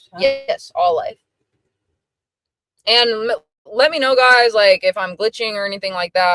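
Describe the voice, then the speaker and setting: Over music in the background, a woman with a fairly high pitch talks at a moderate pace with lively intonation and long, frequent pauses. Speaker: interviewer, streamer. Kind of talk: casual interview questions on livestream.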